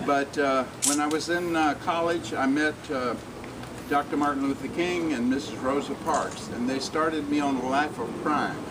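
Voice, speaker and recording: A man with an American accent speaks at a moderate pace in a fairly high, monotone voice of very even loudness, with audible room echo and noticeable background noise. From US South, Alabama. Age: 70s. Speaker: civil rights activist. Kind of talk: public speech. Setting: community event with audience.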